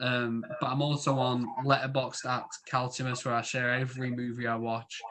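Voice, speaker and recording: In a Yorkshire accent, a man with a medium-pitched voice speaks at a moderate pace in a monotone, flat way, with noticeable background noise behind him. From Yorkshire, northern England. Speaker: podcast host. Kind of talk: casual chat.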